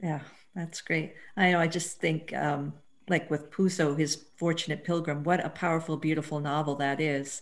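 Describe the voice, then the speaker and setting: The woman's pitch is very deep and low, with monotone, flat intonation. Her pace is moderate. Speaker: professor asking a question. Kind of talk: audience question. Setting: video call. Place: home room. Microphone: headset.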